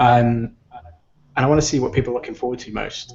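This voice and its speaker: A man with an English accent, medium pitch, fairly quick pace and fairly even intonation. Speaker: video game podcast host. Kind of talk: casual chat. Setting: video call.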